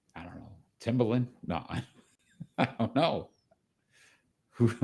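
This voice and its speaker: Speaking fairly slowly in a Rhode Island accent, a man uses vocal fry, ordinary pitch variation and big swings in loudness. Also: medium pitch for a man. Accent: Rhode Island accent, noticeable. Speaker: sports podcast host. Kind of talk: casual chat. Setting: live show.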